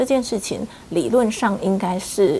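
A fairly slow pace and ordinary pitch variation, over light background noise. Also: woman. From Taiwan. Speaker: HIV rights advocacy group leader; interviewee. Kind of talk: interview. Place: home room.

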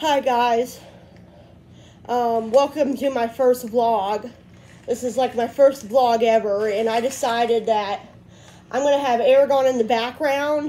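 With a dark, mellow tone, a woman speaks in long, frequent pauses. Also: fairly even intonation, fairly slow pace. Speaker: vlogger. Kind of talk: casual vlog chat. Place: home room. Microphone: phone near.

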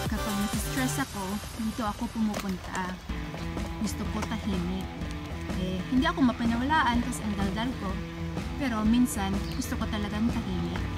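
A woman talks at a fairly quick pace, leaving long, frequent pauses. Loud music plays in the background. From Philippines. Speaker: vlogger, comedian. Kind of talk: casual talk to camera, park tour vlog. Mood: cheerful, joking. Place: garden. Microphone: phone near.

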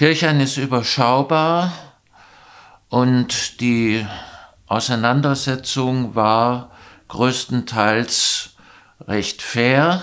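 Against a quiet background, a man speaks very slowly. He leaves long, frequent pauses. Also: medium pitch for a man, ordinary pitch variation. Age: 70s. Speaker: local election candidate, retired teacher; election candidate, retired teacher. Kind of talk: candidate self-introduction interview. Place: studio.

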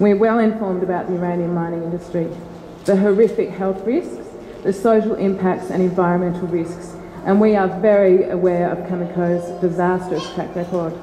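The speaker talks at a moderate pace in a monotone, flat intonation, with light background noise and audible room echo. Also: woman. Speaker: community activist. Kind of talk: public meeting question. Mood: earnest, concerned. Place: hall.

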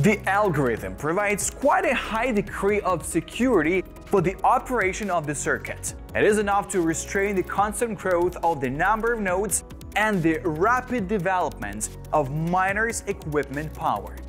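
A man's voice, high for a man, at a moderate pace with ordinary pitch variation and faint music in the background. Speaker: presenter. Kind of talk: tutorial. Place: studio. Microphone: lapel.

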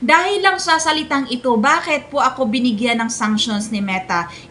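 A woman's raised, projected voice with lively intonation, at a moderate pace over noticeable background noise. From Philippines, Visayas. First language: Bisaya (speaking Tagalog). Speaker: content creator. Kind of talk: tutorial. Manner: polite.

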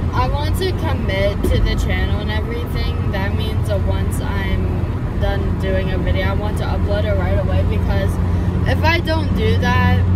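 Loud background noise behind a woman speaking at a moderate pace with ordinary pitch variation. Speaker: vlogger. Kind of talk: casual vlog chat. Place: car.

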